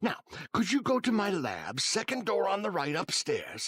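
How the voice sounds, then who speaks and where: A man puts on a cartoonish character voice at a high pitch. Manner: silky, falsely friendly.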